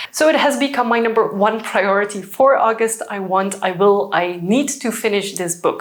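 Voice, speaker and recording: A woman speaks in a Flemish Belgian accent at a medium pitch and moderate pace. Her pitch variation is ordinary, with noticeable background noise behind her. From Belgium (Dutch-speaking). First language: Dutch. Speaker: book vlogger. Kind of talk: casual vlog talk. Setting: at home by bookshelves.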